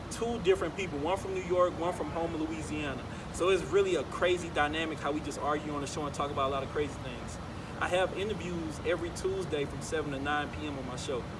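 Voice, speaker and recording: With noticeable background noise behind him, a man rushes along very fast, his fairly high pitch showing ordinary variation. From New Orleans, Louisiana. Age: 20s. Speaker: college radio host and MC. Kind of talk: interview answer. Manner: casual, laid-back.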